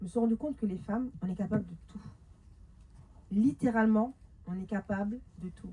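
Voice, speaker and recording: Her voice is fairly high for a woman, somewhat breathy and dark and mellow in tone, with ordinary pitch variation, big swings in loudness, and long, frequent pauses. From France, Paris suburbs (Montreuil). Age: 30s. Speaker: women's life coach. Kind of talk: talk to a live audience. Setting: stage with audience. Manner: fast; animated.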